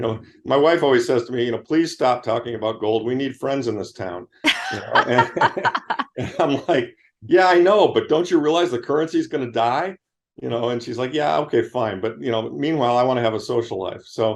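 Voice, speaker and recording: Using lively intonation and a fairly quick pace, a man with an American accent speaks at a medium pitch. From US Midwest, Michigan. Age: 60s. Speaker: investment manager. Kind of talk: interview conversation. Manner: animated.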